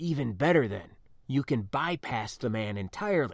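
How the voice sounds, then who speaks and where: Quiet and growling, a man does a put-on character voice at a medium pitch and moderate pace, with very wide pitch swings. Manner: hushed, low voice.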